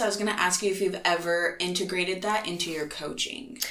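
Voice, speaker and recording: Amid noticeable background noise, a woman of medium pitch speaks with an American accent and ordinary pitch variation. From Nebraska, US Midwest. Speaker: podcast host. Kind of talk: casual interview.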